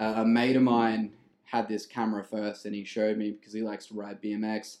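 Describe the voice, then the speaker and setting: With an Australian accent, a man speaks in a fairly low, dark and mellow voice on a very clean recording with a silent background. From Brisbane, Australia. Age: 20s. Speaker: videographer and music producer. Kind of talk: casual chat.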